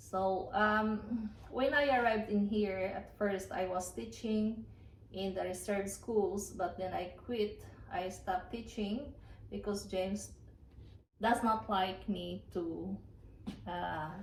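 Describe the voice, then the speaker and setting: With a Filipino accent, a somewhat breathy voice moves at a very slow pace with ordinary pitch variation, and the room echo is audible. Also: woman, medium pitch for a woman. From Philippines. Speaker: farmer and former teacher. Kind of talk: casual vlog talk. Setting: at home by the fireplace. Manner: halting with fillers.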